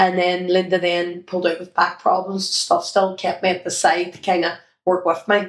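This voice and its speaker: In a Northern Irish accent, a woman speaks at a medium pitch. Her intonation is monotone and flat. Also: moderate pace. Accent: Derry Northern Irish. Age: 50s. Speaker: children's entertainer and former sports coach. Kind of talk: interview reminiscence.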